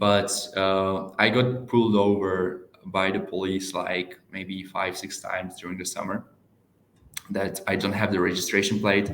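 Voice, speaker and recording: With an Eastern European accent, the speaker goes at a fairly slow pace in a monotone, flat intonation, with audible room echo. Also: man, very deep, low pitch for a man. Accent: Eastern European, heard as Russian. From Czech Republic. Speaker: door-to-door salesperson. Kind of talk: casual chat. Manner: halting, many fillers.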